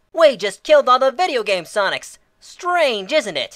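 Using a put-on character voice that sounds female, the speaker talks at a moderate pace in a high pitch on a very clean recording with a silent background. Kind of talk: comic fan parody. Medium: comedy sketch. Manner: heckling, sarcastic.

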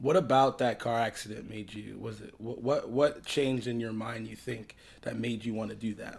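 A man with an American accent speaks at a moderate pace with vocal fry, fairly even intonation, and big swings in loudness. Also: hardly any pauses. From Southwest Florida. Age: 20s. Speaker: podcast host interviewing a musician. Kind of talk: casual interview chat. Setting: living room. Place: home room. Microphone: studio mic.

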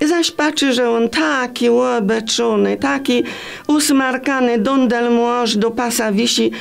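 Over faint music in the background, a woman with a Greater Poland accent speaks at a very slow pace in a fairly high pitch. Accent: Greater Poland rural dialect. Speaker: storyteller. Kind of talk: dialect storytelling. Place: studio.

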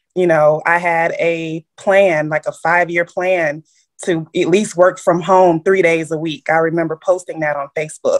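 Over a quiet background, a woman with a fairly low pitch speaks at a moderate pace in a flat monotone. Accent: American. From Chicago. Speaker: realtor and transaction coordinator business owner; podcast guest. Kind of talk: interview. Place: home room. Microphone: video call.

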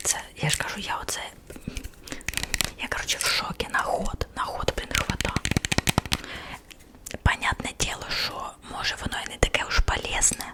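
A woman whispers, leaving long, frequent pauses. Noticeable background noise runs underneath. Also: moderate pace. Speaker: ASMR creator. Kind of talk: ASMR whisper chat to the audience. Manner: whispered, soft-spoken.

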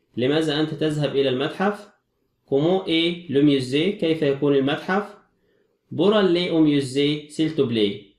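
Speaking at a fairly slow pace, a man with a fairly high pitch keeps his loudness very even while room echo is audible. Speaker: French teacher. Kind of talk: lecture.

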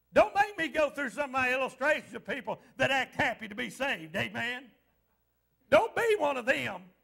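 Over a quiet background, a man uses a raised, projected voice at an extremely high pitch, with very wide pitch swings and an animated, playful, bright, sharp tone. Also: moderate pace. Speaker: pastor. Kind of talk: fervent revival-style sermon with call-and-response to the congregation. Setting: church. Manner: exhorting and animated, punctuating lines with repeated amens; playful teasing of the congregation to draw responses. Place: church.

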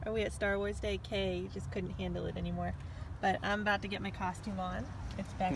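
At a fairly quick pace, the voice sounds dry with no echo, though noticeable background noise is present. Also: woman. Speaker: family vlogger. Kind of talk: casual vlog chat.

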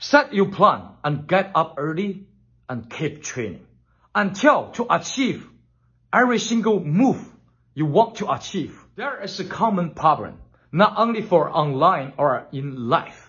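A man with a Chinese accent speaks at a fairly slow pace in a high voice, his pitch swinging very widely against a quiet background. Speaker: kung fu teacher. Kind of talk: tutorial. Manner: enthusiastic. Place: home room. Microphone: phone near.

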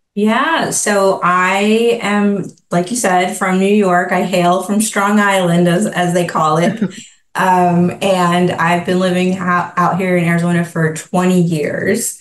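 A woman speaks very slowly in a flat monotone, her loudness very even, with audible room echo around her. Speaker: remote guest. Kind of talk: interview answer. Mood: warm, proud. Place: home room. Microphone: video call.

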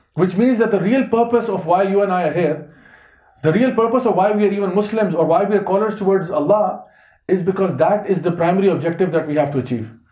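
A man speaks very fast at a high pitch with a dark, mellow tone and ordinary pitch variation. The background is quiet, though room echo is audible. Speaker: religious teacher. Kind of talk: lecture. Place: home room. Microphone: headset.

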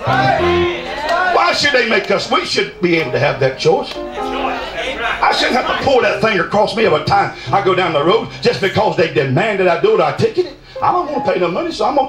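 With clear music in the background, a man speaks at a high pitch with very wide pitch swings and hardly any pauses. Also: moderate pace. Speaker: preacher. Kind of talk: revival sermon. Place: tent.

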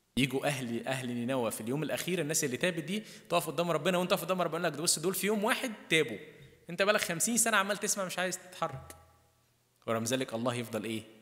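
A man with an Egyptian accent talks at a very fast pace in a high pitch. His intonation is lively, and the background is quiet. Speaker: priest. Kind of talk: sermon. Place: church. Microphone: podium.

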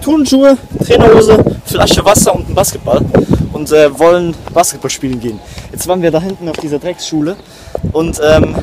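Loud background noise surrounds a man talking at a moderate pace. His speech has long, frequent pauses, and the sound is dry with no echo. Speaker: vlogger. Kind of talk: casual vlog chat. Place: street. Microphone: phone near.

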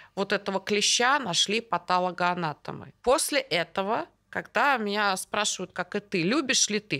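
Against a quiet background, a woman speaks fairly slowly in an animated, bright, sharp tone with lively intonation. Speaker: guest. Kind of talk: casual chat between doctors. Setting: studio. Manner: animated, talkative. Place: studio. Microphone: studio mic.

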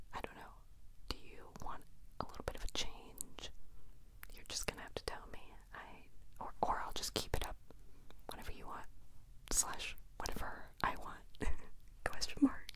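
A woman whispers at a moderate pace, her loudness swinging widely. She leaves long, frequent pauses. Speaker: vlogger. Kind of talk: casual vlog chat. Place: home room. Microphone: handheld.

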